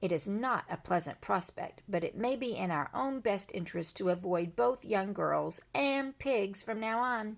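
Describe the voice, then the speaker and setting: A raspy, female-sounding put-on character voice moves along at a moderate pace. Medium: read story. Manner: formal, polite.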